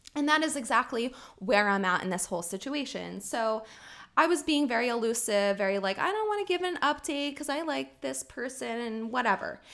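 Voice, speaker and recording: A woman's unremarkable speaking voice, fairly high in pitch, with lively intonation and a fairly quick pace. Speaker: podcast co-host. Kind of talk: casual chat.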